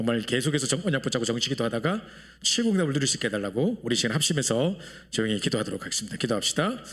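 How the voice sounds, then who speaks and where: A man's medium-pitched voice at a very fast pace, with very wide pitch swings and very even loudness. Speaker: pastor. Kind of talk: prayer; sermon. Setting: church.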